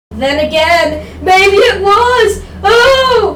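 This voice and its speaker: A put-on character voice at an extremely high pitch comes through with a slight echo. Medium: machinima.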